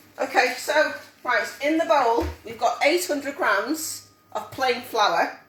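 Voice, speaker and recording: With lively intonation and a high pitch, a woman speaks amid audible room echo and noticeable background noise. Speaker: home cook teaching a cook-along. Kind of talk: live cooking tutorial. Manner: fast.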